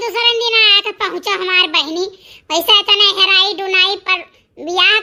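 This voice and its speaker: In a cartoonish character voice, a woman speaks at a moderate pace with a squeaky, extremely high pitch and ordinary pitch variation. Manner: brisk, dismissive, in rustic dialect.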